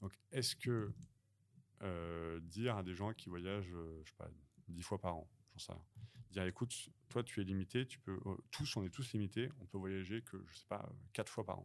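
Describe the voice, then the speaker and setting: This man's voice is very deep and low. He uses ordinary pitch variation and leaves long, frequent pauses. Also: moderate pace. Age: 40s. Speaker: climate transition trainer and coach. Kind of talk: podcast interview. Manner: hesitant, many fillers.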